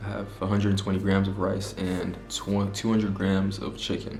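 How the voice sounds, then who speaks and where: A man's fairly low, monotone, flat voice at a fairly quick pace, with audible room echo. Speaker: fitness vlogger. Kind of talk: casual vlog talk to camera. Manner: stutters at times.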